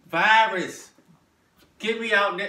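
A raised, projected man's voice in an American accent, with audible room echo. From Maryland. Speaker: vlogger. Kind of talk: monologue to camera. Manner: halting. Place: home room. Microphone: phone near.

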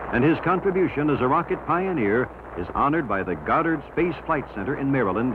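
A man keeps a fairly quick pace as noticeable background noise continues underneath. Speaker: documentary narrator. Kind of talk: documentary narration. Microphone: old recording.

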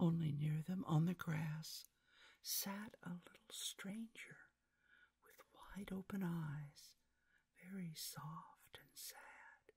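Against a quiet background, a woman with a fairly low pitch and a dark, mellow, somewhat breathy tone speaks very slowly, her loudness swinging widely. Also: ordinary pitch variation. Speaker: ASMR storyteller. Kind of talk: read-aloud story. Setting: binaural recording. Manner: whispered. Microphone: studio mic.

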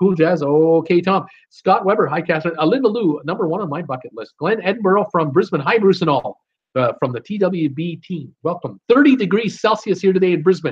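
A man's high-pitched voice with lively intonation. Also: fairly quick pace. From Ontario, Canada. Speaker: YouTube cruise channel host. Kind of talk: live stream chat reading viewer comments. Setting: live stream from home. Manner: casual, halting with many fillers. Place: home room. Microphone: webcam.

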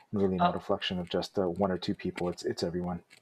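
Light background noise accompanies a man speaking with a Canadian accent. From small rural community in Canada. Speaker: filmmaker and photojournalist. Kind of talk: casual interview. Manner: halting, many fillers. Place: home room. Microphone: earbuds.

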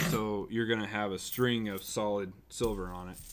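Here a man talks at a fairly low pitch with fairly even intonation.

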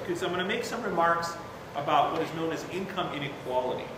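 A man speaks at a very fast pace. Room echo and noticeable background noise are both audible. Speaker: university professor. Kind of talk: lecture. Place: hall. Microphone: podium.

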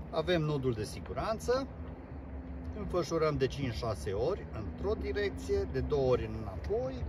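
The dry sound, with no echo, catches a man speaking at a moderate pace and fairly low pitch amid noticeable background noise. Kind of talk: tutorial. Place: boat. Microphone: camera far.

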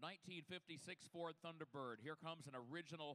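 This man's voice sits fairly high and has a bright, sharp tone. He talks at a fairly slow pace. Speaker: auction broadcast commentator. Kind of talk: live commentary. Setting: live car auction broadcast. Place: hall.

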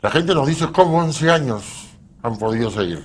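A man is speaking here. He talks at a fairly slow pace. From Peru. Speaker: bereaved father and victims' advocate; guest. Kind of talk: TV interview. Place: studio. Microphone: lapel.

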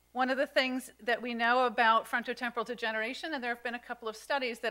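A woman's bright, sharp voice at a very fast pace with fairly even intonation. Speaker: conference presenter. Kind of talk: lecture. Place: hall.

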